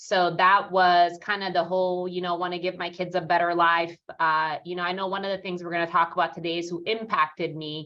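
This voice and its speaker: A woman with a slight Italian accent talks at a fairly quick pace with hardly any pauses. Her intonation is monotone and flat. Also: fairly low pitch for a woman. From Italy, near Rome. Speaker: real estate team leader. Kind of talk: interview. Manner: many fillers, pauses to think.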